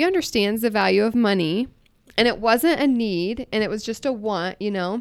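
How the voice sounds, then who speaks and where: A woman with an American accent and a normal speaking voice talks at a moderate pace, her fairly high pitch carried by lively intonation. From US Midwest, central Iowa. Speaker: business owner. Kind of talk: casual chat.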